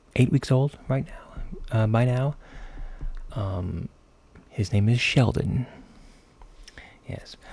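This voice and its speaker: A man speaks very slowly at a medium pitch, his dark, mellow tone somewhat breathy. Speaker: gaming YouTuber. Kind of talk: casual talk to camera.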